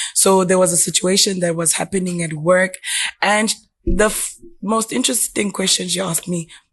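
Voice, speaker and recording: Somewhat breathy and medium in pitch, a woman speaks at a moderate pace with fairly even intonation. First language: not English. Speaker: podcast guest. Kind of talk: casual chat.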